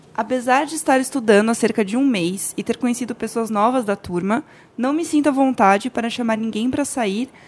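A woman talks fairly quickly and high in pitch, varying it in an ordinary way. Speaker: podcaster guest. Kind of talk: casual chat.

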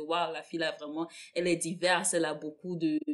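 A woman's normal speaking voice, a normal speaking voice with fairly low pitch, at a moderate pace. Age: 20s. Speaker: podcast co-host. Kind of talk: casual chat.

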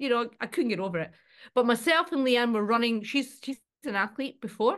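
An unremarkable speaking voice from a woman, fairly high-pitched, with lively intonation and a fairly quick pace. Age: 50s. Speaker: actor and reality show contestant. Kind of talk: casual interview.

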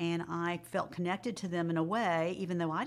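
In a normal speaking voice, a woman with a fairly low pitch talks at a fairly quick pace. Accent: American. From Jacksonville, Florida. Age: 60s. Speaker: retired school counselor, adoptee. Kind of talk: interview, personal testimony.

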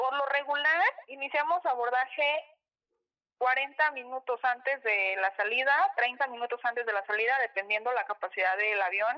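Her high pitch moving in lively intonation, a woman speaks at a moderate pace. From Mexico, Acapulco (Guerrero). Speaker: airline ground staff. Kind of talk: casual interview. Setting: remote call.

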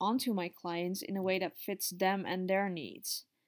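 In a very clean recording with a silent background, a woman of medium pitch speaks at a fairly slow pace. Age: 30s. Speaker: psychologist and business coach. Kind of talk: solo podcast monologue. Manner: animated.

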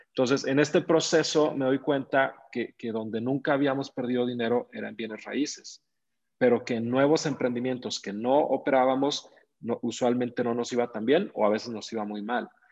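A man with a Mexican accent speaks at a moderate pace. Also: medium pitch for a man, ordinary pitch variation. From Mexico, Zacatecas. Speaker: real estate investor and entrepreneur. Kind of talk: interview.

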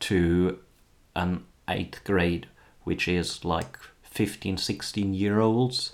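On a very clean recording with a silent background, a man with a very deep, low pitch talks at a very slow pace with fairly even intonation. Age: 30s. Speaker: teacher. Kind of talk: solo podcast monologue. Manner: hesitant, many fillers.

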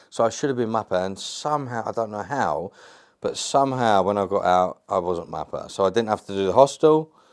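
A man with a London accent and lively intonation. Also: medium pitch for a man, fairly quick pace. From England. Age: 30s. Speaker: actor and ex-prisoner. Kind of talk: casual interview chat.

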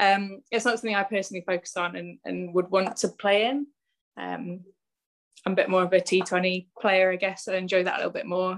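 A woman's medium-pitched voice with a West Country accent. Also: fairly even intonation, fairly quick pace. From West Country, Bristol. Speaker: professional cricketer. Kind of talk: interview.

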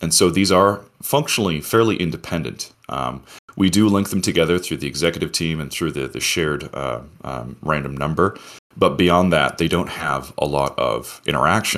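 A man with a very deep, low pitch and vocal fry sounds excited, talking at a moderate pace with ordinary pitch variation. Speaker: protocol CTO explaining governance. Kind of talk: technical explanation. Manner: excited about project.

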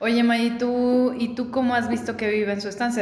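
A woman with a Mexican accent, amid noticeable background noise and audible room echo. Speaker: podcast host. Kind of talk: casual chat. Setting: recorded in person in a sparsely furnished house. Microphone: echo in the room.

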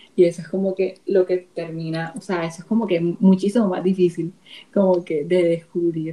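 A woman's a plain, everyday voice, fairly low in pitch, at a moderate pace with fairly even intonation. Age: 20s. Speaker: TikToker. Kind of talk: casual chat.

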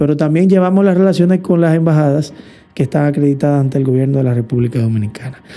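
Here a man talks at a fairly quick pace in a fairly high voice. The tone is dark and mellow. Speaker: diplomat. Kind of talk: interview. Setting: studio. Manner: formal.

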